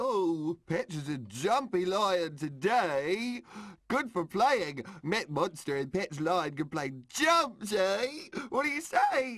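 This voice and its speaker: A man speaks in a cartoonish character voice, high-pitched and delivered at a very slow pace. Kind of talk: children's puppet show. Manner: childish, broken grammar, playful.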